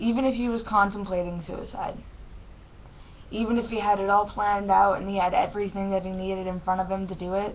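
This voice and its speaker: Speaking very fast at a medium pitch, a woman delivers her words in a monotone, flat way, with audible room echo. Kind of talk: personal webcam vlog. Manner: halting.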